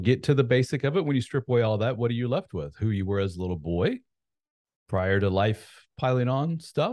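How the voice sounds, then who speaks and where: Against a quiet background, a man with an ordinary speaking voice talks at a medium pitch and moderate pace with lively intonation. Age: 40s. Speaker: author and men's coach. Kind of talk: casual interview chat.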